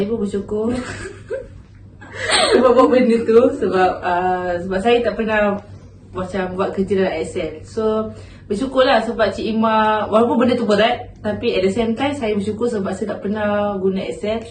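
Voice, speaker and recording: In a room with audible echo, a woman speaks at a moderate pace with a fairly high pitch and fairly even intonation. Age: 20s. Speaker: university intern. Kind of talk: casual interview. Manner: hesitant.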